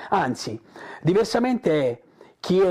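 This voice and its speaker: A man talks at a moderate pace, the background quiet. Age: 50s. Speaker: digital entrepreneur. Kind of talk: motivational talk to camera. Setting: in front of a camera. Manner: hesitant, many fillers.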